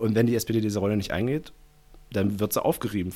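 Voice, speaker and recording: A man speaks with a dark, mellow tone and fairly low pitch. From Saxony-Anhalt, eastern Germany. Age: 20s. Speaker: party activist. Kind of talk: casual interview. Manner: long-winded.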